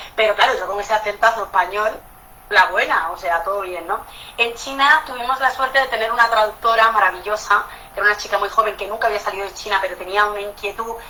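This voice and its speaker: Amid noticeable background noise, a woman talks very fast at a fairly high pitch with ordinary pitch variation. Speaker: architect. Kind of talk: talk in an online panel. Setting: video call. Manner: animated.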